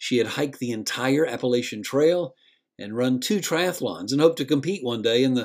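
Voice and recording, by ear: With a quiet background, the clip features reading aloud in a natural voice.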